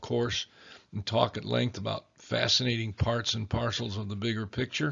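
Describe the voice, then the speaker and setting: The man talks at a fairly quick pace. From Chicago, US, German-speaking home. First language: German. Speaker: history lecturer. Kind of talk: lecture.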